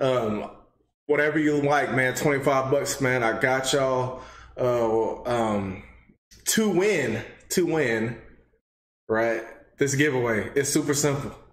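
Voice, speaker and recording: With an American accent, a man speaks at a very slow pace and very even loudness, leaving long, frequent pauses amid audible room echo. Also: ordinary pitch variation. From Texas. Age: 20s. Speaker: gaming channel host. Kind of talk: casual talk to camera. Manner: upbeat. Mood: grateful, upbeat. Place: home room.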